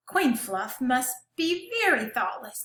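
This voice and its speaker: Putting on a character voice, a woman talks fairly slowly at a high pitch with very wide pitch swings. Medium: read story.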